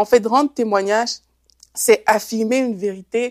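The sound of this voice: Here a woman speaks. Her tone is slightly mellow. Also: dry, close sound with no echo.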